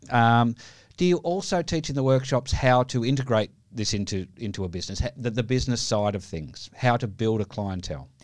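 In a normal speaking voice, a man of medium pitch talks at a fairly quick pace with lively intonation. The recording is very clean and the background silent. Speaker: podcast host. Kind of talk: casual interview.

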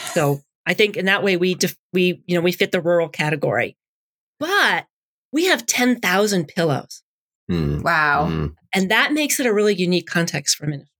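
With an American accent, an unremarkable speaking voice talks at a moderate pace in a dry, close sound with no echo. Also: woman, medium pitch for a woman, lively intonation. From suburban Boston. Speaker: pastor. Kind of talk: interview.

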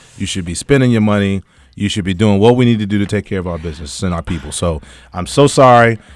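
A man talks at a very fast pace and a fairly low pitch with ordinary pitch variation, in a very clean recording with a silent background. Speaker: cigar company owner and entrepreneur. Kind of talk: casual radio interview. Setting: radio studio. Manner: joking, laughs often.

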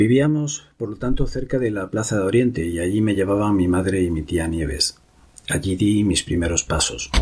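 A man talks in a somewhat breathy voice with lively intonation. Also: fairly low pitch for a man, moderate pace. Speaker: memoir narrator. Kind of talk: reading aloud.

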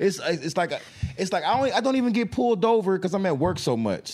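This man has an American accent and a high pitch. He races along at a very fast pace with lively intonation. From Dallas, Texas. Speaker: podcast host. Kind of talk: casual chat.

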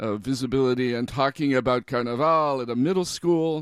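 A man's normal speaking voice at medium pitch, with lively intonation and a moderate pace. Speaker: radio host. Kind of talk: radio show hosting, interview. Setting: studio, guest on Zoom.

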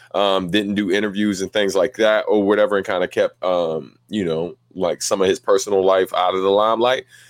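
A man with an unremarkable speaking voice talks fairly quickly at a fairly low pitch, with fairly even intonation and hardly any pauses, on a very clean, dry, close recording with a silent background and no echo. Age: 30s. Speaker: podcast host. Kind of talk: casual chat. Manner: laid-back.

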